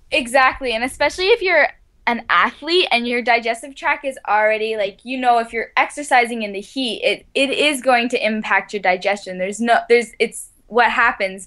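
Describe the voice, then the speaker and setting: A woman's high, bright, sharp voice at a moderate pace, with lively intonation and hardly any pauses. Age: 20s. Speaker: ultramarathon runner. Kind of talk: interview.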